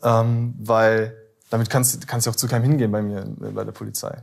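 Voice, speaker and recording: A man's unremarkable speaking voice, medium in pitch, with fairly even intonation and a moderate pace. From Ruhr area, Germany (Bottrop). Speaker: former police officer turned copywriter. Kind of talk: interview.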